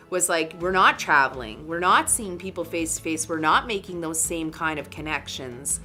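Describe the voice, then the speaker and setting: A woman's fairly low voice, ordinary in pitch variation, at a moderate pace. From Northern Canada. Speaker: artist and business owner. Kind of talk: interview answer.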